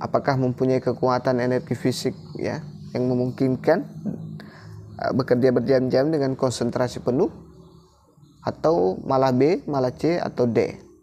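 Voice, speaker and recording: A man speaks at a moderate pace with medium pitch and ordinary pitch variation. Long, frequent pauses break up his speech, and background noise is noticeable. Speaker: teacher exam-prep tutor. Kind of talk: tutorial.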